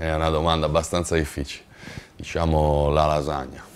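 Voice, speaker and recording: The voice moves at a fairly quick pace in a monotone, flat intonation over light background noise. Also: man. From Liguria, Italy (Recco, Genoa); Liguria, Italy. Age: 30s. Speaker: basketball player. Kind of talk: interview. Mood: relaxed, friendly. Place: home room. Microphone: lapel.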